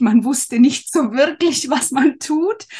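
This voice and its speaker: Speaking at a very slow pace, a woman with a somewhat breathy voice makes very wide pitch swings against a quiet background. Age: 40s. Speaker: handmade business owner, former course participant. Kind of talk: casual interview.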